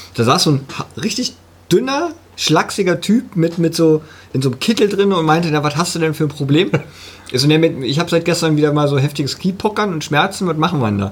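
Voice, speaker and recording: Talking fairly quickly, a man with an ordinary speaking voice uses a fairly high pitch and lively intonation. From eastern Germany. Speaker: podcast co-host. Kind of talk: casual chat. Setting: studio.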